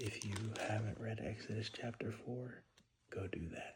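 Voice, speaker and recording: A man whispers quietly in a somewhat breathy voice. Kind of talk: casual talk to camera. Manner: whispered, quiet.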